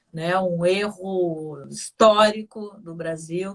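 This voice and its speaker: A woman with a southern Brazilian accent and ordinary pitch variation. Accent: gaúcho. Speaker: radio host. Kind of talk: interview. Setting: studio. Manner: animated.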